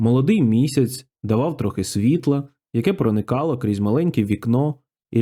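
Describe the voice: Plain reading aloud with lively intonation is heard against a quiet background.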